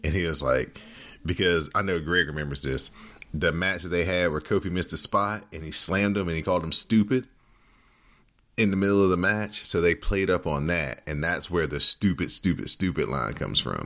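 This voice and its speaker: Speaking at a fairly quick pace, a man has a very deep, low pitch with vocal fry and a bright, sharp tone. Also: ordinary pitch variation. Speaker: podcast host. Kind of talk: casual podcast chat. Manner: conversational, laughs often.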